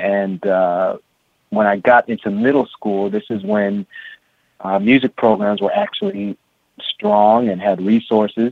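With an American accent, a man talks at a fairly slow pace with fairly even intonation in a plain, everyday voice. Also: fairly low pitch for a man. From San Francisco, California. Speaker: drummer and music educator. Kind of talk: interview.

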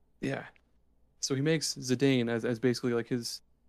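Here a man talks at a moderate pace with a medium pitch and a monotone, flat intonation. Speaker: video game podcast co-host. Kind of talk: casual chat.

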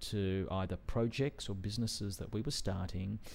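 With an Australian accent, a man talks with ordinary pitch variation, the recording very clean and the background silent. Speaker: venture investor and entrepreneur. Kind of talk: interview. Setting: studio.

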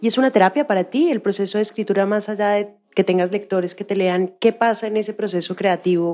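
A woman's medium-pitched voice, fairly quick in pace, dark and mellow in tone, with ordinary pitch variation. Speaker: podcast host. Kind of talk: interview.

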